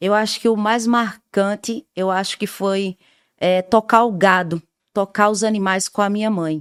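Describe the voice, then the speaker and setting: A woman with a northeastern Brazilian accent at a medium pitch and a fairly slow pace, in a dry, close sound with no echo on a very clean recording with a silent background. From Brazilian Northeast, rural Paraíba (Queimadas). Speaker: radio communicator and social activist. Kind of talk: interview.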